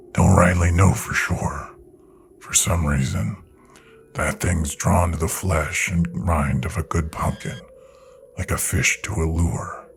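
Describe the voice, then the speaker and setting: A rumbling, put-on character voice moves at a fairly slow pace. Long pauses come frequently. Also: man, very deep, low pitch for a man. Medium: read story. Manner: low, grim, terse.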